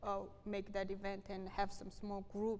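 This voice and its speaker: Woman with a Korean accent and a medium pitch, at a moderate pace, with audible room echo. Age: 30s. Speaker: refugee activist. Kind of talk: lecture with Q&A. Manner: halting.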